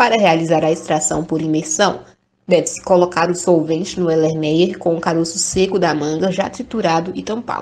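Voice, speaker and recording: A woman with an ordinary speaking voice talks at a moderate pace, her pitch fairly low. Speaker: chemistry student. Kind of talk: scripted presentation.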